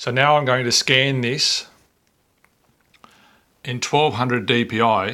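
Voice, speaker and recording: Speaking at medium pitch, a man with an Australian accent has a bright, sharp tone. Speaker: photo scanning hobbyist. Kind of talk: software tutorial narration. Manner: casual, unhurried.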